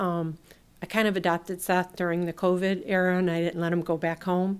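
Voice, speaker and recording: A woman talks in a normal speaking voice at medium pitch, with an American accent and a moderate pace. The recording is very clean, with a silent background. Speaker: local election candidate. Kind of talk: public meeting remarks. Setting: public meeting room.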